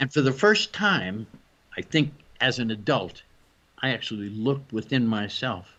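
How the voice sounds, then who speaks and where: A man of medium pitch talks at a moderate pace in a bright, sharp tone, his intonation lively and his speech broken by long, frequent pauses. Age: 70s. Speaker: photographer and shroud researcher. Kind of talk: interview.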